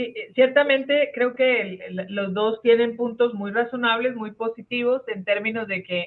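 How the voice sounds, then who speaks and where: A woman talks at a fairly slow pace in an ordinary speaking voice, fairly high in pitch with ordinary pitch variation. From Colombia. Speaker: catechesis speaker, social pastoral trainer. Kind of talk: online workshop facilitation. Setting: video call.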